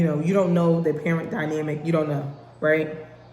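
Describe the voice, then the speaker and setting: Amid audible room echo, a woman with a very deep, low pitch talks at a fairly quick pace. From North New Jersey. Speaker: podcast host. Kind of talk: casual monologue. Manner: animated.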